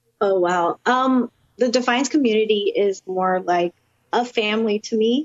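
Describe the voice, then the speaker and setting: A woman's plain, everyday voice in an American accent, fairly high in pitch, with ordinary pitch variation, very even loudness and a fairly slow pace. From Florida (Orlando). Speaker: professional wrestler. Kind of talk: interview.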